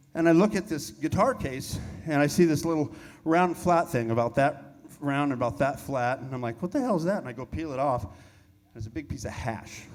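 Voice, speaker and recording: A man's fairly high-pitched voice with lively intonation at a fairly quick pace. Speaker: rock band member. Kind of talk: on-stage storytelling. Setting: stage with audience.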